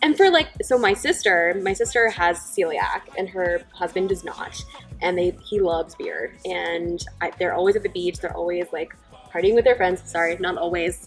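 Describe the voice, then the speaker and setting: Faint background music under a woman's moderately paced speech. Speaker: host interviewing wine founders. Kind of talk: casual interview chat. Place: bar.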